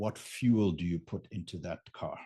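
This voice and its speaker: Speaking with a German accent, this man has a dark, mellow tone. The background is quiet. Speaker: business coach on raising capital. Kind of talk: unscripted live talk to camera. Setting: home studio, live stream. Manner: animated.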